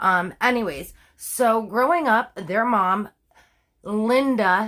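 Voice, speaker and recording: Her fairly high voice swings very widely in pitch, animated in tone, on a very clean recording with a silent background. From Canada. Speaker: true crime storyteller. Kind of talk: casual storytelling. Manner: informal, many fillers.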